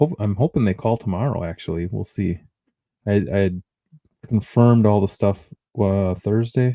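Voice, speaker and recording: In a Midwestern accent, a man speaks at a moderate pace and fairly low pitch in a dark, mellow tone. Long, frequent pauses break up his speech, and the sound is dry and close with no echo. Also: ordinary pitch variation. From US Midwest. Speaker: podcast co-host. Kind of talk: casual chat.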